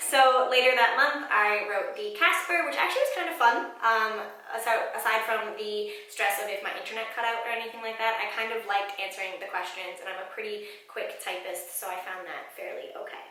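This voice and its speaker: Over noticeable background noise, a woman talks at a fairly quick pace and fairly high pitch, with ordinary pitch variation and big swings in loudness. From Ontario, Canada. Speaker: medical student. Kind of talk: casual talk to camera.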